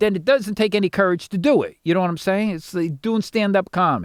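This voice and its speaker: Speaking with an American accent, a man uses a high pitch at a moderate pace. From upstate New York. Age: 60s. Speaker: comedian. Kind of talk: casual chat.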